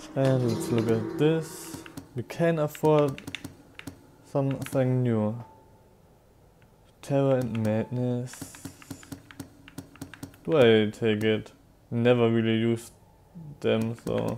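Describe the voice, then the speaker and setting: A man's very slow delivery at a medium pitch, with ordinary pitch variation, long, frequent pauses and noticeable background noise. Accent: German. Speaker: streamer. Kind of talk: casual gameplay commentary.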